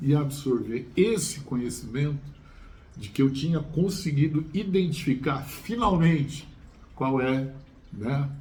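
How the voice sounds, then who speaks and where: A man's somewhat breathy, medium-pitched voice with a dark, mellow tone, ordinary pitch variation, a fairly slow pace and audible room echo. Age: 60s. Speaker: chemistry teacher. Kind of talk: casual chat. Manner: halting, many fillers and repetitions.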